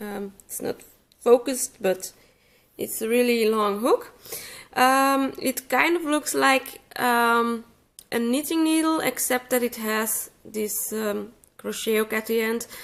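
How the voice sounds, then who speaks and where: A woman speaks at a very slow pace. Her pitch is fairly high, with ordinary variation. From Flanders, Belgium. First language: Dutch. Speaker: crochet teacher. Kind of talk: tutorial. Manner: hesitant, many fillers. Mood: calm, relaxed. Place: home room.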